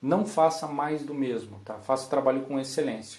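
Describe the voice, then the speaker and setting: A man speaks with a fairly high voice. His pace is moderate. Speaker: copywriter giving a talk. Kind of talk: conference talk. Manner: animated.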